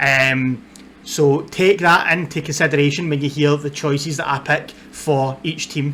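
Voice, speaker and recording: A man with a strong Scottish accent speaks at a fairly high pitch with fairly even intonation. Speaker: football content creator. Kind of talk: casual vlog talk to camera. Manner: hesitant, many fillers.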